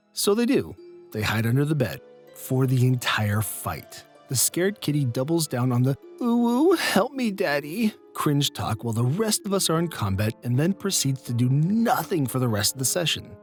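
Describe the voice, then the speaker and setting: Over music in the background, the speaker talks at a fairly slow pace. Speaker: storyteller narrator. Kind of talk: reddit tabletop horror story narration.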